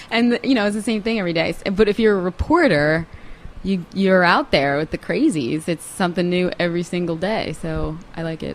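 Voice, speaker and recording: Against noticeable background noise, a woman with an American accent talks at a fairly quick pace, fairly low in pitch, with ordinary pitch variation. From Long Island, New York. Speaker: TV news reporter. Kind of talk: casual chat.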